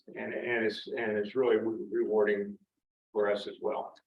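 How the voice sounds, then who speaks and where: A man talks with a Central Pennsylvania accent. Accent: Pennsylvania (Central PA) English. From York County, Pennsylvania. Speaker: army veteran. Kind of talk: personal talk to audience.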